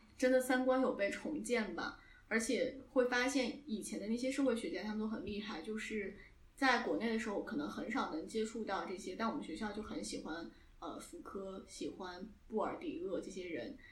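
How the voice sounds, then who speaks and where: A woman's fairly high voice with lively intonation at a moderate pace, amid noticeable background noise. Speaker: podcast co-host, media student. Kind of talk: casual chat.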